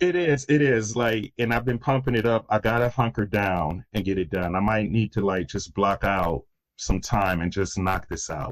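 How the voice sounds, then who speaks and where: A man speaks in an ordinary speaking voice at a moderate pace with an American accent, his fairly low pitch carried by lively intonation and hardly any pauses over a very clean recording with a silent background. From US Midwest, Detroit, Michigan. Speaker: crisis intervention consultant. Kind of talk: podcast interview.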